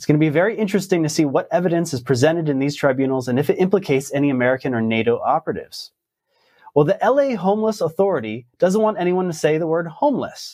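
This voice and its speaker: Against a quiet background, a man with a high pitch and a dark, mellow tone talks very fast with lively intonation. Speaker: news show host. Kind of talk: news commentary.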